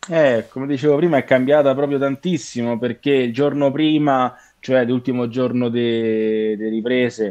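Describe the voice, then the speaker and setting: Fairly even intonation from a man at a moderate pace. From Italy, Rome. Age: 20s. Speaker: actor. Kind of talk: casual chat. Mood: relaxed, laughing at times. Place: home room. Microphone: video call.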